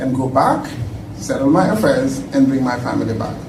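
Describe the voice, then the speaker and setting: The delivery is moderately paced with lively intonation. Noticeable background noise and audible room echo surround it. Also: man. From Senegal. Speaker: tech professional, guest speaker. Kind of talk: conference talk. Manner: loud.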